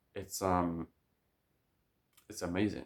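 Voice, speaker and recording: A man with a very deep, low pitch speaks in a monotone, flat intonation. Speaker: vlogger. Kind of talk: casual monologue. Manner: fast; halting, many fillers and restarts.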